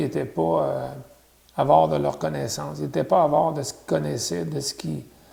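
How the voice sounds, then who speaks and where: A man with a Quebec accent talks at a fairly quick pace. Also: big swings in loudness. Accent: Québécois French. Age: 60s. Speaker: interviewee sharing family history. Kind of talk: oral history interview.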